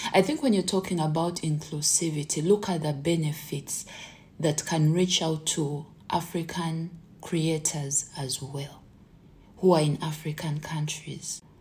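Fairly slow and fairly even in intonation, a woman speaks with a very deep, low pitch. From Uganda. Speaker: content creator. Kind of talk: vlog monologue. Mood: earnest, mildly frustrated. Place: home room. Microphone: phone near.

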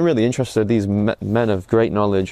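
Delivered at a very fast pace, the voice has a dark, mellow tone and a dry sound with no echo. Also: man. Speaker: convert giving testimony. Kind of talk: testimony. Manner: halting. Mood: reflective, earnest. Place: garden. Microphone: phone near.

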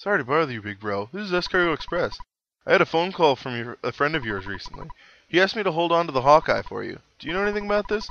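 The speaker uses a put-on character voice with a bright, sharp tone and vocal fry. The delivery is fast, with big pitch swings. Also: man, fairly high pitch for a man.

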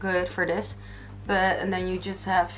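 Faint music sits in the background. Over it, a woman speaks. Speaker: beauty vlogger. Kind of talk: casual tutorial chat. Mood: cheerful, laughing. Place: home room. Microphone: camera far.

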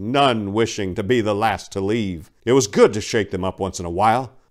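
Pitch varies in an ordinary way through an unforced reading voice.

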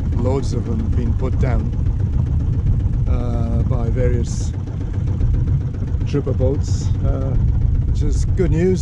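A man speaks at a fairly slow pace over loud background noise, the sound dry with no echo. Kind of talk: casual vlog narration. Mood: relaxed, content. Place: boat.

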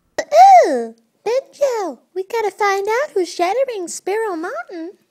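A squeaky, put-on character voice at an extremely high pitch and a fairly slow pace. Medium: audio drama.

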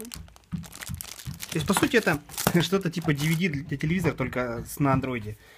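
Over music in the background, a man with a fairly high pitch talks at a moderate pace, his intonation lively and his loudness swinging widely. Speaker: vlogger reviewing parcels. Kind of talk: casual conversation. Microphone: phone near.

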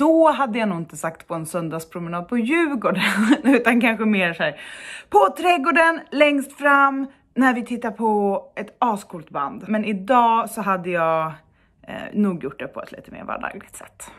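In a quiet setting, a woman speaks at a moderate pace with very wide pitch swings. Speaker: blogger. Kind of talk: casual vlog chat. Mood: cheerful, animated. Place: home room. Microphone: phone near.

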